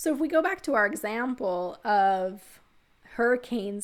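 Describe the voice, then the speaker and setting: Lively intonation in a Texas accent. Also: woman. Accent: Texas pronunciation. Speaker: economics instructor. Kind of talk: lecture.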